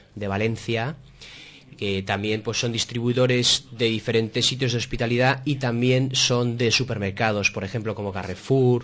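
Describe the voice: Here a man talks at a moderate pace and medium pitch, his tone fairly bright and his intonation fairly even.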